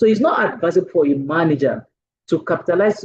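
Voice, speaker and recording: The speaker talks at a very fast pace with a Nigerian accent. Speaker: manager and Toastmasters speaker. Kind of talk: lecture.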